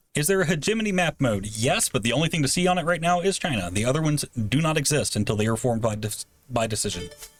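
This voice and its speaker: Over music in the background, a man talks at a very fast pace with a fairly high pitch. His pitch swings very widely while his loudness stays very even. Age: 30s. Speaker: game developer presenting on livestream. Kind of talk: livestream gameplay demo with Q&A. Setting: livestream.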